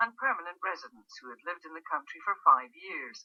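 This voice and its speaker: A woman with a Scottish accent talks at a fairly quick pace in a dry, close sound with no echo. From Scotland. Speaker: newsreader. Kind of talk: radio news bulletin.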